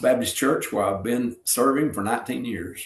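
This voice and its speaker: A man with a Southern US accent speaks at a moderate pace and medium pitch. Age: 60s. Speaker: retired pro wrestler and pastor. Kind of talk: interview. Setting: podcast interview. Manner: casual, storytelling.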